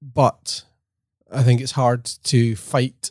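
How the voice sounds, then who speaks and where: Recorded dry and close with no echo, a man talks at medium pitch in a Scottish accent. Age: 30s. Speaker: podcast co-host. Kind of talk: scripted appeal; casual chat. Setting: office.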